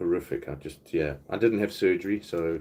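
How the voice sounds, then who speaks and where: A man with a South African accent at a fairly quick pace. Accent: South African, often mistaken for Australian. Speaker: YouTuber doing live Q&A. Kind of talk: casual chat.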